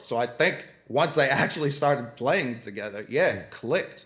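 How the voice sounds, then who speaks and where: With an American accent, a man speaks in an unremarkable speaking voice, fairly high in pitch and with ordinary pitch variation. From Boston, US. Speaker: basketball commentator. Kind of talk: casual chat.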